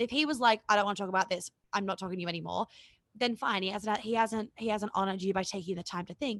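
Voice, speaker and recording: Speech at a very fast pace with ordinary pitch variation comes through as a dry, close sound with no echo on a very clean recording with a silent background. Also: woman. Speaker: relationship coach. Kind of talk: podcast interview.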